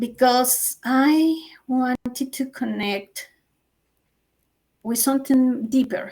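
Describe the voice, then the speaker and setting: Speaking very slowly with long, frequent pauses, a woman with a Colombian accent uses a high voice and fairly even intonation. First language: Spanish. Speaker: author and teacher. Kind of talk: interview.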